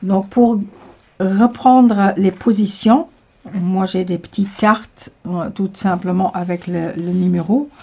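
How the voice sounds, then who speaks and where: A woman with a Luxembourgish accent speaks at a very slow pace and medium pitch. Her voice is somewhat breathy, with ordinary pitch variation. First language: Luxembourgish (speaking French). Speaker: tarot reader. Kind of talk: tutorial. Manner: halting, many hesitations.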